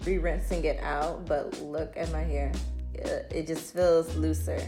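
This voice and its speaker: A woman speaks with music in the background. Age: 20s. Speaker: beauty vlogger. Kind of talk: casual talk to camera.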